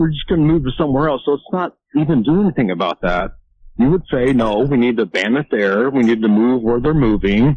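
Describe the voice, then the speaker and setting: A man with a normal speaking voice, medium pitch and lively intonation, at a fairly quick pace with very even loudness. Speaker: caller. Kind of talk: casual call-in chat. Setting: phone call.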